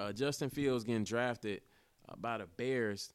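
An animated tone with ordinary pitch variation at a moderate pace, on a very clean recording with a silent background. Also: man. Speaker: podcast host. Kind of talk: casual monologue.

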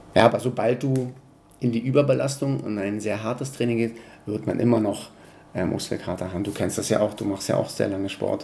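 A man talks at a fairly quick pace with medium pitch and ordinary pitch variation. Noticeable background noise is present. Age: 40s. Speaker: personal trainer. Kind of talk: interview.

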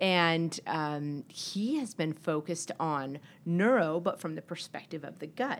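In an unremarkable speaking voice with an American accent, the talker goes at a fairly slow pace with ordinary pitch variation. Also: woman, fairly low pitch for a woman. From Texas, El Paso. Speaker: venture capitalist. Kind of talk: interview. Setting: studio.

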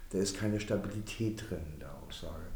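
Somewhat breathy and fairly low-pitched, a man speaks at a moderate pace amid audible room echo. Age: 60s. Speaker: energy company managing director. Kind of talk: interview. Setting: office.

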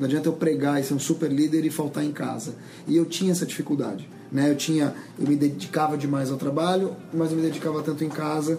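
A man talks at a very fast pace in a fairly high pitch with fairly even intonation, and noticeable background noise can be heard. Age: 40s. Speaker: journalist and communications agency head. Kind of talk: casual chat.

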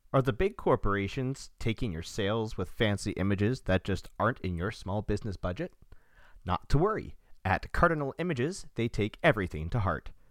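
Speaking at a fairly quick pace, a man with a medium pitch swings very widely in pitch, recorded very cleanly against a silent background. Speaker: podcast host. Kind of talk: casual interview chat.

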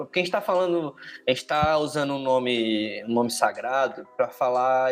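Medium-pitched male speech at a moderate pace with ordinary pitch variation. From Ceará, Northeast Brazil. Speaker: podcast co-host. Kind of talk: casual chat. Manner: animated.

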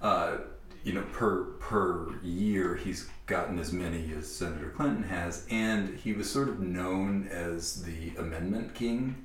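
Amid noticeable background noise, a man with a very deep, low voice speaks fairly slowly with ordinary pitch variation. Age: 40s. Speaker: podcast host. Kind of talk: scripted narration; casual chat. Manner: halting.

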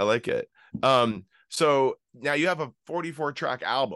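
A man with an ordinary speaking voice talks at a fairly slow pace with a fairly high pitch and lively intonation. The sound is dry and close with no echo, against a quiet background. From Canada. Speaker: podcast host and musician. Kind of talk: interview.

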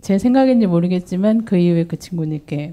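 Speaking at a moderate pace, a woman uses a medium pitch, ordinary pitch variation and a dark, mellow tone. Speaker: audience member, office worker. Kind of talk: audience question.

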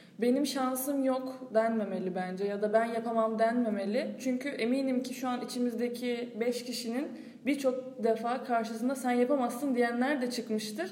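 A high-pitched woman at a moderate pace with hardly any pauses and fairly even intonation, amid noticeable background noise and audible room echo. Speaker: agricultural engineering student. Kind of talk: casual panel discussion.

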